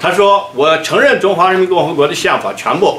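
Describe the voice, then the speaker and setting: A man talks at a moderate pace with very wide pitch swings. Light background noise and audible room echo are present. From Xinjiang (Uyghur). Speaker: Uyghur activist speaker. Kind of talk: conference speech. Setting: conference stage with audience. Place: office.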